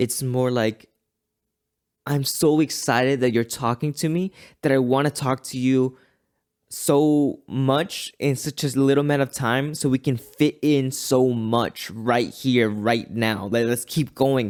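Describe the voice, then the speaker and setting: On a very clean recording with a silent background and dry, close sound with no echo, a man with a normal speaking voice goes at a fairly slow pace with fairly even intonation. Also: medium pitch for a man. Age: 20s. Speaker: podcast host. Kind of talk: solo reflective monologue.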